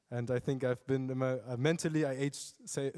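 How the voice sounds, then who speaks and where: A man with a German accent, fairly high in pitch with a dark, mellow tone, in a very clean recording with a silent background. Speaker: youth workshop peer. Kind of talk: panel discussion.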